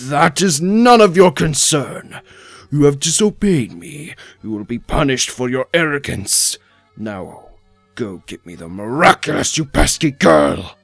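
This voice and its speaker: Music plays behind a man performing a put-on character voice. His pitch is fairly high with very wide swings, at a moderate pace. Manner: commanding, menacing.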